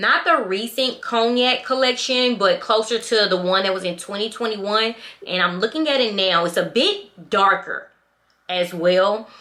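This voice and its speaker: Loud and animated, a woman speaks at a fairly slow pace with a bright, sharp tone and lively intonation. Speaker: luxury handbag vlogger. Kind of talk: product review vlog.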